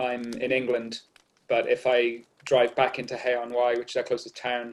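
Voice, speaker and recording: A man's medium-pitched voice in a flat monotone. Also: moderate pace. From Wales, Barry near Cardiff. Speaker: artist. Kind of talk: casual interview conversation.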